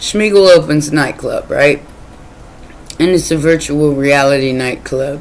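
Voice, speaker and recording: The speech moves at a fairly slow pace with long, frequent pauses over noticeable background noise. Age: 50s. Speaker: tarot reader. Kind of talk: casual monologue. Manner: rambling, repeats words.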